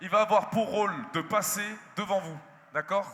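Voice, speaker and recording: A man's raised, projected voice, high in pitch with ordinary pitch variation, over noticeable background noise. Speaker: event presenter. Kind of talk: live stage interview moderation. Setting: stage with audience.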